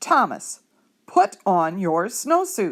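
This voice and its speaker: Using a put-on character voice, a woman at a medium pitch swings her pitch very widely. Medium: read story. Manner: authoritative.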